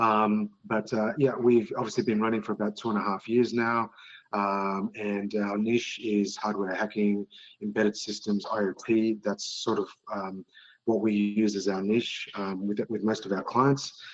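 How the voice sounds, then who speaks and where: A man with an Australian accent, fairly low in pitch, at a moderate pace, in a monotone, flat intonation. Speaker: penetration testing firm director. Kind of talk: casual interview chat. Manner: hesitant, many fillers.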